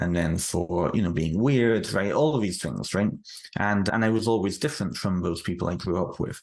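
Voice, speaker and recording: A man speaks with a British accent and a very deep, low pitch. His intonation is lively. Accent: British, still noticeable. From United Kingdom. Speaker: author. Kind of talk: interview. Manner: halting, frequent repetitions.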